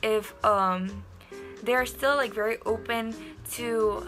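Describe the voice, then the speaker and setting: Faint music plays in the background as a woman speaks with an Indonesian accent. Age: young. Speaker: university student. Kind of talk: casual talk to camera. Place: home room. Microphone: phone near.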